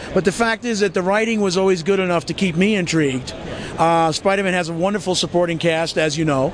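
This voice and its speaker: Over noticeable background noise, a man talks very fast at a high pitch, with ordinary pitch variation and very even loudness. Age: 50s. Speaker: comic book artist. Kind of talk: interview. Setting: comic convention.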